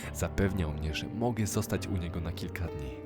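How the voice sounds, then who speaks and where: Music plays in the background as a man speaks fairly quickly, his pitch varying in an ordinary way. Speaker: voice-over reader. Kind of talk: horror story narration.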